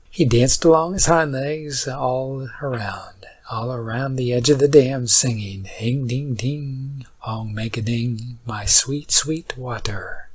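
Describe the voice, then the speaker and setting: At a very slow pace with hardly any pauses, a man speaks in a calm, soothing, somewhat breathy tone at a medium pitch with ordinary pitch variation. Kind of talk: sleep story.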